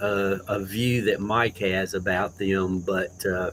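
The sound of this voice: A man speaks at a slow pace with a low pitch, fairly even intonation and a fairly bright tone.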